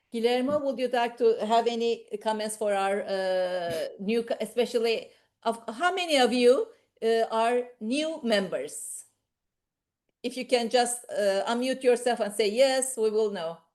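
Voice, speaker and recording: A woman with a non-native accent, fairly high-pitched, with ordinary pitch variation and a fairly slow pace. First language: not English. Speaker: professor and medical society official. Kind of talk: online meeting moderation. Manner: halting.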